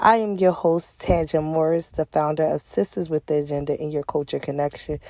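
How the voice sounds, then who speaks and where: In a Philadelphia accent, a woman with a very deep, low pitch and a dark, mellow tone talks at a fairly quick pace with ordinary pitch variation, the sound dry and close with no echo. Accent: Philadelphia American English. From Philadelphia, US. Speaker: podcast host. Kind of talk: scripted show intro.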